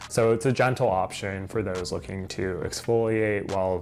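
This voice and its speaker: Against noticeable background noise, a man speaks with a fairly low pitch and ordinary pitch variation. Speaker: skincare youtuber. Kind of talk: product review.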